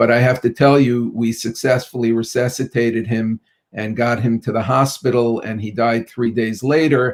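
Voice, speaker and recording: In a New York accent, a man speaks with monotone, flat intonation. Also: medium pitch for a man, moderate pace. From Brooklyn, New York. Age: 50s. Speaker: pediatrician. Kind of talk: interview.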